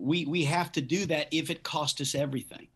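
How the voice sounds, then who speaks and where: A man talks fairly slowly in a normal speaking voice, pitched fairly high. His pitch varies in an ordinary way against a quiet background. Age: 50s. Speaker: pastor. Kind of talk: casual chat.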